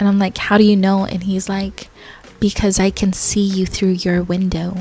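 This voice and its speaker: Music plays behind a woman speaking at medium pitch. Her pace is fairly slow. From New Zealand. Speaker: social media creator. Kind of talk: casual talk to camera.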